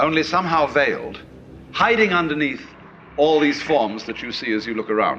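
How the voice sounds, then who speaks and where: Noticeable background noise accompanies a man's fairly high voice, which swings very widely in pitch. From Britain. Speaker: philosopher, writer and speaker. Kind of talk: philosophical lecture.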